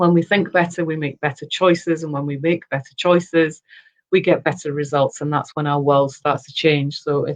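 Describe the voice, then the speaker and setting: A woman's monotone, flat intonation in a Yorkshire accent. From Yorkshire, northern England. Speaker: personal development consultant, former radio producer. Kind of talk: interview. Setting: live video chat.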